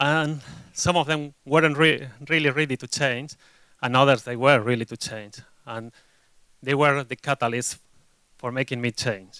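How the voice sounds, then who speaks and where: A man with a Spanish accent, medium pitch, a bright, sharp tone, fairly even intonation, big swings in loudness, a moderate pace, long, frequent pauses and a dry, close sound with no echo. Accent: Spanish accent, noticeable. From Spain. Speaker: agile delivery consultant, conference speaker. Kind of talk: conference talk. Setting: stage with audience.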